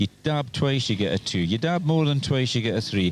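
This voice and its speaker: Speaking with a Scottish accent, a man makes very wide pitch swings over noticeable background noise. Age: 60s. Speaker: trials observer. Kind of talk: casual interview.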